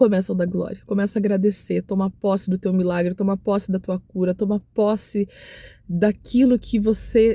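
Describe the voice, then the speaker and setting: Her voice is somewhat breathy, with a dark, mellow tone at a medium pitch for a woman. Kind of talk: devotional talk to camera. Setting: recording to camera. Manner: emotional; repetitive exhortation.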